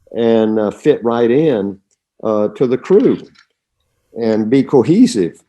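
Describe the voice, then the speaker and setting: This man talks with a Southern US accent. His intonation is lively. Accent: Southern drawl. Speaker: retired astronaut. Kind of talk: interview answer.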